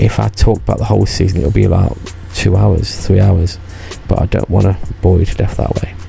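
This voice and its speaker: A man's very deep, low voice at a fairly quick pace, with music in the background. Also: ordinary pitch variation. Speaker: YouTuber recounting past theme park job. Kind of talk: casual vlog monologue. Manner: rambling, hesitant.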